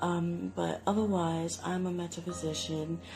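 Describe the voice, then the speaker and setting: Over music in the background, a woman with a British accent speaks in a relaxed tone, her very deep, low pitch carrying lively intonation. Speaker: tarot reader. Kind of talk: casual talk to camera. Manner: rambling, relaxed.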